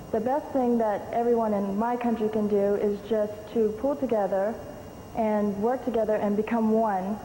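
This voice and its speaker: A woman's fairly high voice with fairly even intonation and very even loudness, over noticeable background noise and audible room echo. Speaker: beauty pageant contestant. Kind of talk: interview.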